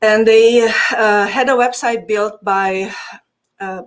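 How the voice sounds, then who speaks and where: Fairly slow and fairly even in intonation, a woman speaks with a Hungarian accent. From Transylvania, Romania (Hungarian community). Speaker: digital marketing agency owner. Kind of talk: podcast interview.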